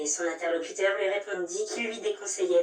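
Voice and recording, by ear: In a natural voice, a passage is read aloud.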